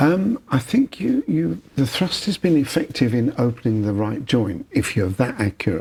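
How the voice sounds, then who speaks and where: Someone talks at a moderate pace with hardly any pauses over noticeable background noise. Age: 80s+. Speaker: osteopath. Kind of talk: conversational interview.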